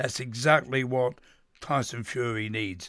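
In a Cockney accent, a man speaks at a medium pitch and a fairly slow pace, with a bright, sharp tone. The recording is very clean, with a silent background. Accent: London Cockney. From East London. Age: old. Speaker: veteran boxing journalist. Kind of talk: radio panel discussion.

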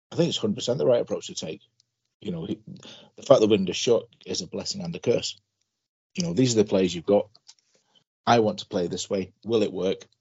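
A man speaks at a very fast pace. His loudness swings a lot, and he takes long, frequent pauses. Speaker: football fan panelist.

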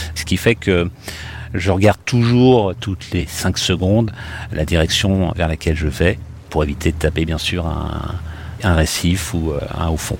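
Over noticeable background noise, a man with a very deep, low pitch talks at a fairly slow pace with ordinary pitch variation and long, frequent pauses. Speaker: airline pilot, rescue survivor. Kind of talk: personal testimony. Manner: hesitant, with fillers.

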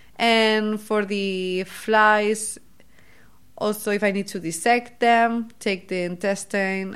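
With a Catalan accent, a woman speaks in fairly even intonation. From Spain, Barcelona. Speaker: PhD student in cancer biology. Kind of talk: casual interview.

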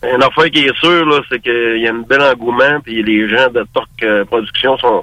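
A man speaks at a fairly slow pace with ordinary pitch variation and a medium pitch. His is an unremarkable speaking voice. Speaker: car restorer. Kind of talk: casual chat.

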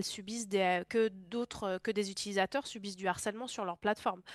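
In an unremarkable speaking voice, a woman of medium pitch speaks with fairly even intonation on a very clean recording with a silent background and a dry, close sound with no echo. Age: 20s. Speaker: content moderation professional in video games. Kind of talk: interview.

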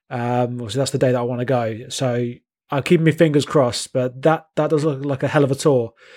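A man talks at a very fast pace in a southern English accent. His medium pitch holds a fairly even intonation. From southern England. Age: 30s. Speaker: podcast co-host. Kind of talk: casual chat. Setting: video call. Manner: halting.

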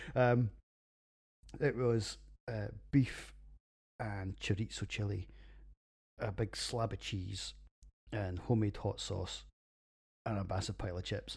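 In a Scottish accent, a man speaks at a fairly low pitch, somewhat breathy and with fairly even intonation, leaving long, frequent pauses on a very clean recording with a silent background. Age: 40s. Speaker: podcast host, beer reviewer, military veteran. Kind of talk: casual monologue.

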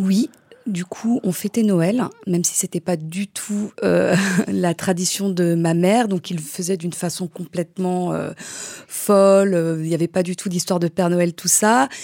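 A woman speaks with a fairly low pitch and a dark, mellow tone. Her intonation is fairly even, and the sound is dry and close with no echo. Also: fairly slow pace. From France, Polish-Iranian parents. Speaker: mother. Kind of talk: personal testimony.

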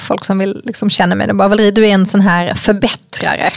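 A woman rattles along at a very fast pace while noticeable background noise plays. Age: 40s. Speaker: podcast co-host. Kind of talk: casual chat.

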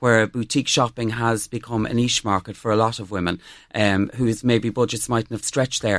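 In a very clean recording with a silent background, a man with an Irish accent speaks at medium pitch and a fairly quick pace. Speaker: fashion blogger. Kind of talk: interview. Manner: enthusiastic.

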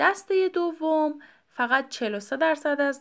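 A woman speaks with lively intonation. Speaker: podcast host. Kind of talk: solo educational talk.

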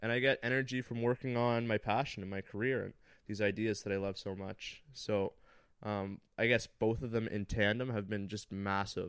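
In a Canadian accent, a man with an ordinary speaking voice talks at a moderate pace, his pitch fairly low and his intonation fairly even. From Northern Ontario, Canada (Thunder Bay). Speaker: graphic designer and content creator. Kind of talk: casual chat.

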